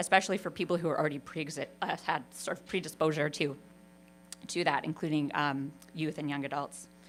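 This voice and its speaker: A woman speaks loudly at a fairly quick pace. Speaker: university researcher. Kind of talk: conference presentation. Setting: stage with audience.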